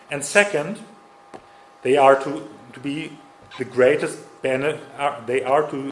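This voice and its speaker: The intonation is lively. Audible room echo and noticeable background noise surround the voice. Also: man. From Germany. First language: German. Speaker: conference speaker. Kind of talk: lecture. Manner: halting.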